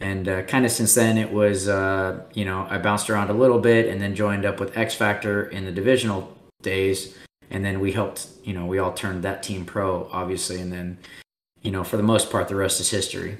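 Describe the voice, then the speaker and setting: Audible room echo surrounds a man speaking at a fairly quick pace. His fairly low voice is monotone, with flat intonation. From Texas, Austin. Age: 30s. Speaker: pro paintball player. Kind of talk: casual interview.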